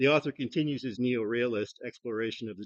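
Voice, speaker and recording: A man with a Midwestern American accent and ordinary pitch variation. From US Midwest, Toledo, Ohio. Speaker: retired English professor. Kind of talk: conference presentation. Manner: loud; hesitant, many fillers.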